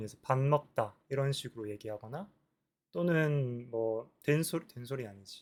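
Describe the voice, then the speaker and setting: A man mumbles at a very slow pace. His pitch is medium, with ordinary variation. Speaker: vlogger practicing speaking. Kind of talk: solo talk to camera. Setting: recording alone to camera. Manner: mumbled pronunciation; halting, many self-corrections.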